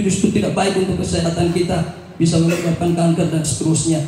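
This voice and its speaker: A man shouting at a fairly quick pace, high in pitch, with audible room echo and noticeable background noise. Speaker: legislative candidate. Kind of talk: panel debate. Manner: loud, half-shouting.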